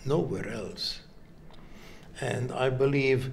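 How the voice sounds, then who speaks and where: Audible room echo colors a man's medium-pitched voice. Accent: Hungarian. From Hungary. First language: Hungarian. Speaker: heart surgeon. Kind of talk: interview. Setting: medical congress.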